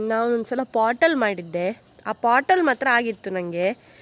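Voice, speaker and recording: A woman speaks at a high pitch with lively intonation. Noticeable background noise runs behind her. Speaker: vlogger. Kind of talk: casual vlog. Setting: outdoors in garden.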